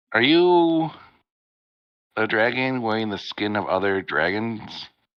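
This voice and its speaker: Putting on a character voice, a man talks fairly slowly. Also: medium pitch for a man. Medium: actual play. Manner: boastful, simple.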